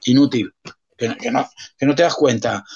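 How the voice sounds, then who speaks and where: This man has an unremarkable speaking voice, pitched fairly high and moving at a fairly quick pace. His pitch varies in an ordinary way. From Spain, Pamplona (Navarre). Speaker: swimming coach, former swimmer. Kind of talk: casual chat.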